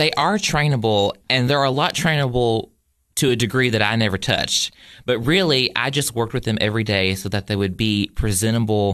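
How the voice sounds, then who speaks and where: At a fairly quick pace, a man with a Southern US accent speaks at medium pitch with ordinary pitch variation and very even loudness. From Tennessee, Cookeville. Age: 20s. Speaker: college student and poultry exhibitor. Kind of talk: casual interview. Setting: radio studio. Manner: animated.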